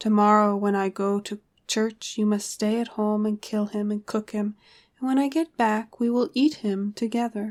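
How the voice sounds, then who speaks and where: Someone uses a put-on character voice at a moderate pace in a very clean recording with a silent background. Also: woman, medium pitch for a woman. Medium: read story.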